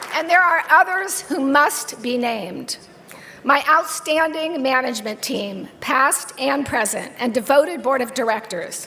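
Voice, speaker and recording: Over noticeable background noise and audible room echo, a woman with an American accent uses a raised, projected voice, high in pitch, at a fairly slow pace. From San Francisco Bay Area. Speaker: business executive receiving award. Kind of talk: acceptance speech. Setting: stage with audience at awards dinner. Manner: animated.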